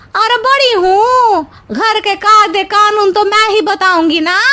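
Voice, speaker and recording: A woman performs a cartoonish character voice at an extremely high pitch, keeping her loudness very even. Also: moderate pace. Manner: whiny, meddlesome.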